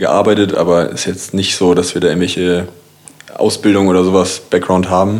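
A man's very deep, low voice at a very fast pace, monotone and flat, with audible room echo and noticeable background noise. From Kiel, northern Germany. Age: 30s. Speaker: designer. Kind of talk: casual chat.

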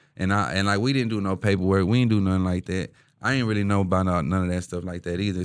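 Very fast and fairly low-pitched, a man talks with a Houston accent on a very clean recording with a silent background. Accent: Houston Texas urban. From Houston, Texas (east side, Denver Harbor). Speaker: rapper. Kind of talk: casual chat. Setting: studio.

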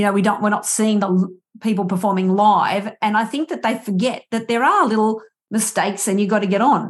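This woman has an Australian accent and a medium-pitched, somewhat breathy voice. She talks at a fairly quick pace with ordinary pitch variation. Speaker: podcast host and musician. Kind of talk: interview conversation.

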